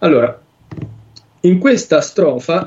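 A man talks at a very slow pace. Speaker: translation analyst. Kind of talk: lecture. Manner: halting.

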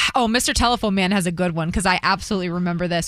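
The speaker talks very fast. Background noise is noticeable throughout. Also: woman. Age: 30s. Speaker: morning radio host. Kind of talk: casual morning show banter.

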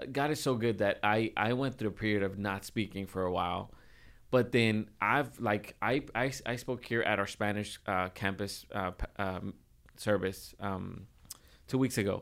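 Heard in a very clean recording with a silent background, an unremarkable speaking voice moves at a moderate pace with fairly even intonation. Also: man, fairly low pitch for a man. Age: 20s. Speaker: church minister and podcast co-host. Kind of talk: casual chat.

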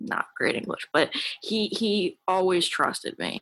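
A woman's quiet voice with a bright, sharp tone. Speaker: recovery group member. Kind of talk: support group share.

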